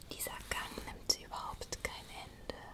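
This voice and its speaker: Against loud background noise, a woman speaks at a very slow pace. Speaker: ASMR creator. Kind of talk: whispered bedtime story reading. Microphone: studio mic.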